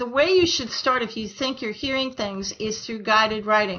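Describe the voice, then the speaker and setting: Here is a plain, everyday voice. The pace is moderate. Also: woman. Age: 60s. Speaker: medium and intuitive advisor. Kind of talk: interview conversation.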